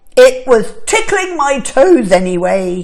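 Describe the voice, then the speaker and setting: At a fairly slow pace, a woman uses a put-on character voice with a high pitch. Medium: read story. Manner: cheerful, kindly.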